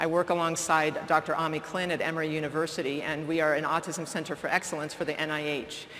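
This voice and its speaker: Speaking at a very fast pace, a woman with a very deep, low pitch is heard over noticeable background noise and audible room echo. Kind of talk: keynote lecture.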